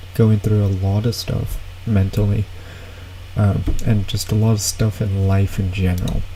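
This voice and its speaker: Noticeable noise sits behind a man with a fairly low voice. He talks fairly slowly with fairly even intonation. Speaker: streamer reacting to videos. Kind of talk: casual live stream chat. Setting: live stream. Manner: loud.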